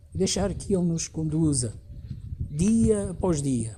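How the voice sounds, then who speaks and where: Speaking very slowly with a European Portuguese accent and lively intonation, a man is heard amid audible room echo and noticeable background noise. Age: 60s. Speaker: pastor. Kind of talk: sermon.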